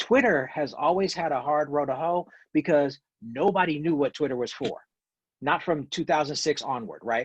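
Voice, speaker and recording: A man with an ordinary speaking voice talks at a moderate pace, fairly high in pitch with ordinary pitch variation. The background is quiet. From US South. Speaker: professor. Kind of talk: video call talk.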